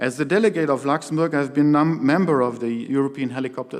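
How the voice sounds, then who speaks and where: A man speaks in a plain, everyday voice at a fairly quick pace. His pitch is fairly high with ordinary variation, over a quiet background. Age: 60s. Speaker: helicopter pilot and association chairman. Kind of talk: keynote speech. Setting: stage with audience. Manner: formal.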